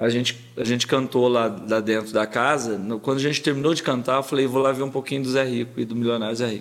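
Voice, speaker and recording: A man talks very fast at medium pitch with hardly any pauses. His intonation stays fairly even. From Brazil, Paraguaçu (Minas Gerais). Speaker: sertanejo singer. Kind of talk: casual interview chat.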